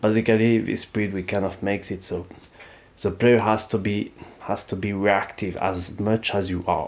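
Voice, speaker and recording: A man with a French accent speaks at a moderate pace in a fairly low voice, his intonation fairly even. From France. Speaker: gaming YouTuber. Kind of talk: gaming tutorial. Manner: casual, hesitant with fillers.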